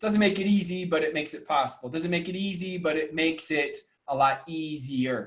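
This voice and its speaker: Delivery comes at a moderate pace. The pitch varies in an ordinary way. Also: man. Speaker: network marketing trainer and coach. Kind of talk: motivational talk. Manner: soft-spoken; loud.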